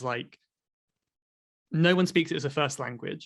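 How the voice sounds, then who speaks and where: A man speaks with an English accent at a fairly slow pace. His pitch variation is ordinary. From Cornwall, England. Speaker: online English teacher and podcast host. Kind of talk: podcast conversation.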